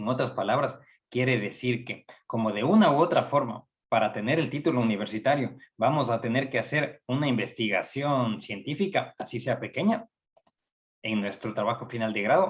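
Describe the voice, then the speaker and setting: Moderate pace, lively intonation and a somewhat breathy, medium-pitched voice from a man with an Ecuadorian accent. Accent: Ecuadorian Spanish, noticeable. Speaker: psychology professor. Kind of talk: lecture.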